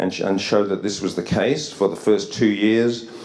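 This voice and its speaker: Fairly low in pitch with fairly even intonation, a man talks amid noticeable background noise and audible room echo. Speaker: psychiatry researcher. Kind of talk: conference lecture. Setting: academy hall with audience. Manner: fast; halting, many repetitions.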